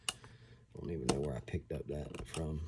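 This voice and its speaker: Speaking at a fairly slow pace, a man uses a very deep, low voice with ordinary pitch variation. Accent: Southern US. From US South. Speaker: airsoft hobbyist YouTuber. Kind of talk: tutorial. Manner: casual.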